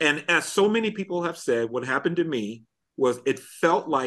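A man's unremarkable speaking voice, moderate in pace with ordinary pitch variation, against a quiet background. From US Midwest (Illinois). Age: 50s. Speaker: pastor and corporate trainer. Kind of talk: casual interview chat.

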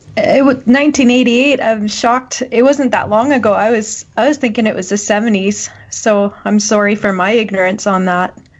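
A woman with a fairly high pitch and ordinary pitch variation, hardly any pauses, and noticeable background noise. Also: moderate pace. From Canada. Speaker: podcast co-host. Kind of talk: casual chat. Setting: video call.

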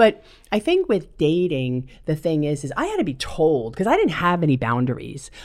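Using a normal speaking voice, a woman with a fairly low pitch talks at a moderate pace with lively intonation. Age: 50s. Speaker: recovering alcoholic sharing her story. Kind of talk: personal testimony interview.

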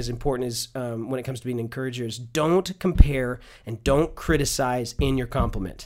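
At a fairly quick pace and with hardly any pauses, a man talks in a medium pitch. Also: big swings in loudness. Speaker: church minister of worship. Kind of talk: casual interview. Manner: animated.

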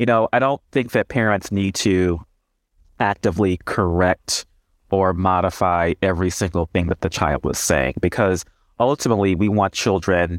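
The voice belongs to a man with an American accent and a very deep, low pitch. He keeps a moderate pace. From Texas (Houston). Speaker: professor and speech pathologist. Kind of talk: interview.

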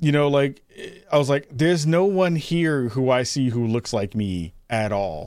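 Speaking in a plain, everyday voice, a man with an American accent uses lively intonation. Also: medium pitch for a man. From New York (the Bronx). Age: 40s. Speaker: podcast host and content creator. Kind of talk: casual chat.

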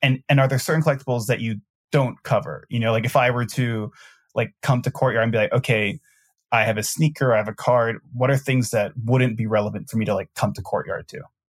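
A somewhat breathy voice at a very fast pace, with fairly even intonation. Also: man, medium pitch for a man. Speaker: podcast host. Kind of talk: casual interview.

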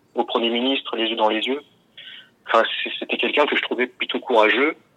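Fairly even intonation in a man's mid-range voice. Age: 20s. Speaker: scam victim. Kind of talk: testimony. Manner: halting.

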